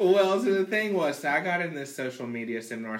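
The voice has an animated tone and lively intonation, moving at a fairly quick pace over noticeable background noise. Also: man. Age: 30s. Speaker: podcast guest. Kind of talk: casual chat.

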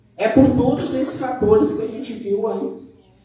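A man is speaking. Audible room echo and noticeable background noise surround him. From southern Brazil. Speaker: university professor and speaker. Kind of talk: keynote talk. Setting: stage with audience.

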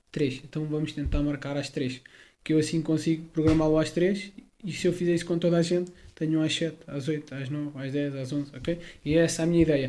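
Talking at a fairly quick pace, a man with a fairly high pitch has a dark, mellow tone and a monotone, flat intonation. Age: 20s. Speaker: personal trainer. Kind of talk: interview. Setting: at home. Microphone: close, clear mic.

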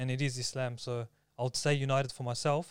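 Monotone, flat intonation with an Australian accent, in a dry, close sound with no echo. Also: man, very clean recording, silent background. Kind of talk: casual chat.

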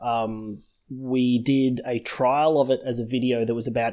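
An Australian accent in a dark, mellow tone with monotone, flat intonation against a quiet background. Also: man. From Sydney, Australia. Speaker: podcast host. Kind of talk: casual chat.

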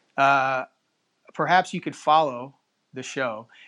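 A man talks at a medium pitch. His intonation is fairly even. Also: fairly bright tone.

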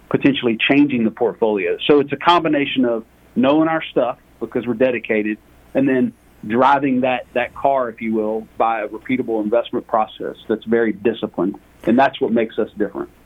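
A man with a Southern accent, medium pitch, fairly even intonation and a fairly quick pace. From US South, Lake Charles, Louisiana. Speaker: energy fund portfolio manager. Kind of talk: interview.

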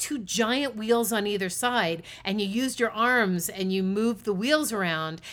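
A woman with an American accent speaks fairly slowly in a normal speaking voice, her pitch fairly high. The recording is very clean, with a silent background. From US East Coast. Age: 50s. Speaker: podcast co-host. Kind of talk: casual chat.

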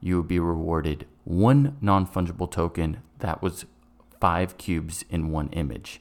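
A man's very deep, low voice at a fairly slow pace. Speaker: podcast co-host. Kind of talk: casual chat.

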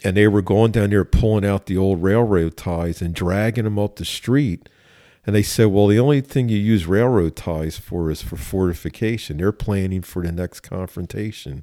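With a Philadelphia accent, a man speaks at a fairly low pitch and moderate pace, his dark, mellow tone showing ordinary pitch variation on a very clean recording with a silent background and a dry, close sound with no echo. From Philadelphia, US. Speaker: police chief. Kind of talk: interview conversation.

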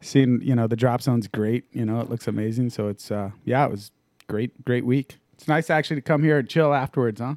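Here is a man with an ordinary speaking voice at a medium pitch. He keeps a fairly quick pace and fairly even intonation on a very clean recording with a silent background. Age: 40s. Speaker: professional skydiver. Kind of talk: casual chat. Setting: studio. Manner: laughs often.

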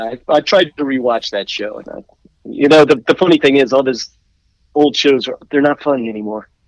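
Recorded with a dry, close sound and no echo, a man in a normal speaking voice with an American accent talks at a fairly high pitch and a moderate pace, with ordinary pitch variation and big swings in loudness. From Washington D.C. area. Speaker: musician. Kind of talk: casual chat.

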